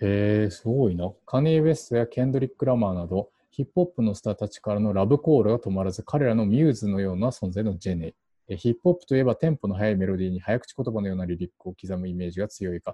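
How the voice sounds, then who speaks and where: A man's fairly low voice with a Japanese accent, very fast and with hardly any pauses. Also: lively intonation. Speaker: podcast host. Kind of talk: casual chat. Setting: home recording.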